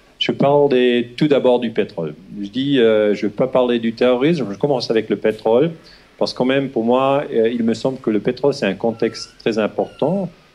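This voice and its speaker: A man with a Swiss German accent and a dark, mellow tone. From Switzerland (German-speaking). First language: Swiss German (speaking French). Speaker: historian. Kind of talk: lecture. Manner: halting, many hesitations; slow.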